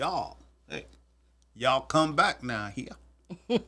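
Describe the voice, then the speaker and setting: Putting on a character voice in a Southern US accent, a man drawls at a very slow pace with lively intonation and a medium pitch. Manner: drawn-out, twangy drawl.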